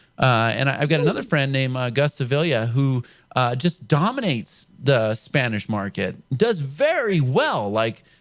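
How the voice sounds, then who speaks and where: A man with an American accent has a plain, everyday voice. He speaks at a medium pitch and moderate pace with lively intonation. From California. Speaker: show host, internet marketer. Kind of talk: interview.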